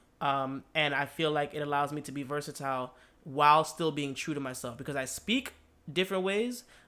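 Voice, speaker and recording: The tone is bright and sharp, delivered at a fairly quick pace with ordinary pitch variation. The recording is very clean with a silent background. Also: man. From born in Brooklyn, raised in Miami, Florida. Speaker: podcast co-host, DJ and musician. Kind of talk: casual chat. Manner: hesitant, many fillers and repeats.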